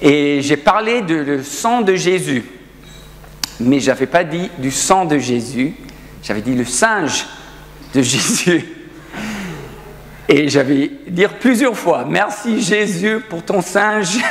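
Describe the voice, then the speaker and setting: Amid noticeable background noise, a man speaks at a very slow pace with long, frequent pauses and lively intonation. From South Africa. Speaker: pastor. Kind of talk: sermon. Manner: halting.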